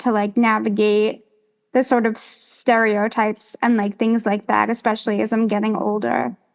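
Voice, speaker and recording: A woman speaks with an American accent at a moderate pace. Her fairly high voice stays monotone and flat. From New York, Long Island. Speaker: actress and singer. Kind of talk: interview.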